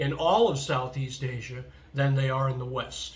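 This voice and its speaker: The man talks at a moderate pace. Audible room echo surrounds his voice. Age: 60s. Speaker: vlogger. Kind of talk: casual monologue vlog. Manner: hesitant, many fillers.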